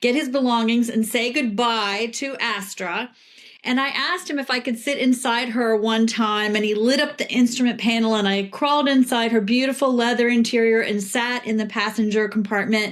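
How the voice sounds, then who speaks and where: A woman's fairly high, fairly even voice at a moderate pace, with hardly any pauses and noticeable background noise. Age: 60s. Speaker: PR professional and children's book author. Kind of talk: interview conversation.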